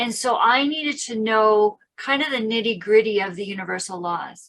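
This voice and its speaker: This woman has an unremarkable speaking voice, fairly high in pitch, with ordinary pitch variation at a moderate pace. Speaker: teacher and presenter. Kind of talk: testimonial conversation.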